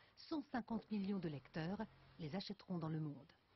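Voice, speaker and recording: This voice belongs to a woman. It has a somewhat breathy quality. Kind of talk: TV news report narration.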